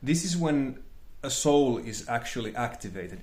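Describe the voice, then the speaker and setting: Speaking fairly slowly with a non-native accent, a man at medium pitch shows ordinary pitch variation, and audible room echo surrounds his voice. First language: not English. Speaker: spiritual teacher, channel host. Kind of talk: monologue lecture. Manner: halting, searching for words.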